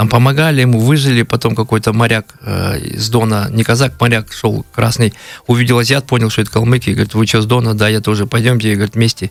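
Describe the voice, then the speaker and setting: A man talks at a very fast pace and medium pitch. His intonation stays fairly even. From Kalmykia, Russia. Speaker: blogger, history storyteller. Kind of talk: radio interview, history storytelling. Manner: halting, many fillers.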